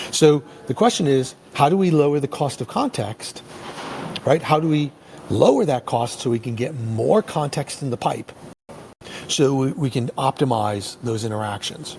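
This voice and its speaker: A man's ordinary pitch variation comes across through noticeable background noise. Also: fairly high pitch for a man. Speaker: tech company presenter. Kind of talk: webinar presentation. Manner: fast; halting, many fillers.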